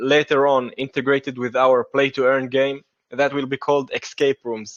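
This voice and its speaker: In a monotone, flat delivery, a man talks at a medium pitch. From Israel. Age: 30s. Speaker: crypto project developer. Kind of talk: AMA interview. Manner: halting.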